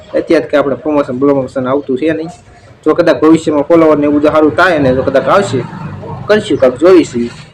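Here a man speaks with fairly high pitch. There is noticeable background noise behind him. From Saurashtra, Gujarat (Rajkot district, rural). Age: 20s. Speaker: village vlogger and farmer. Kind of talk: casual Q&A vlog.

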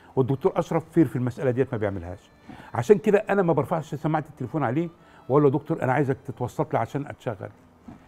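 Speaking very fast with hardly any pauses, a man has a fairly high pitch, lively intonation and big swings in loudness. His tone is dark, mellow and somewhat breathy. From Egypt, Damietta; Egypt. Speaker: actor. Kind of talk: interview. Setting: studio. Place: studio. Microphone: lapel.

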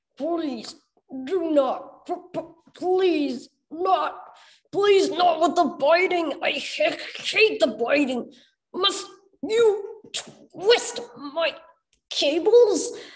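A put-on character voice, extremely high in pitch and very slow in pace. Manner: halting, stuttering, pleading.

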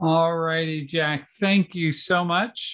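Against a quiet background, a man talks. His pitch is high. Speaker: church official; webinar host or presenter. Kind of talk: workshop hosting. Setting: video call. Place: home room. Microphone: video call.

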